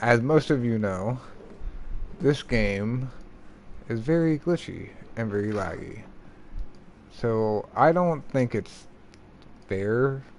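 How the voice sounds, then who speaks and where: Mumbling at a very slow pace, a man talks with ordinary pitch variation. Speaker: gaming livestreamer. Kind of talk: casual livestream talk. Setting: livestream.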